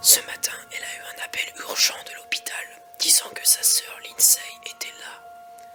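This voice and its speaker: Someone whispers at a fairly slow pace. Music plays in the background. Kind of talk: creepypasta horror story narration, ASMR. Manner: soft, relaxing, ASMR.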